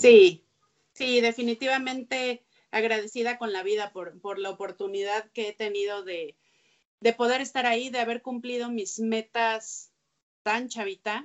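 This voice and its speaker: The speaker goes at a fairly slow pace with fairly even intonation and big swings in loudness. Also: woman, fairly high pitch for a woman. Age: 30s. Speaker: sports journalist. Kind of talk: interview conversation. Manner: halting with repeated words.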